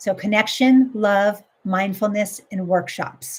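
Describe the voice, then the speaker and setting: A somewhat breathy woman speaks at medium pitch with fairly even intonation. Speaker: life coach. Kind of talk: live coaching stream. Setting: live stream.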